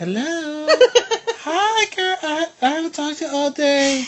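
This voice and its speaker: This is a put-on character voice with a high pitch. The pace is moderate. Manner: fake sweet.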